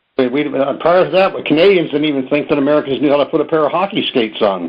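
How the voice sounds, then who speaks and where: Using vocal fry, a man talks at a very fast pace in a fairly high pitch, with very even loudness. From Canada (Toronto area). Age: 70s. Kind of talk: casual interview chat. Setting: radio interview.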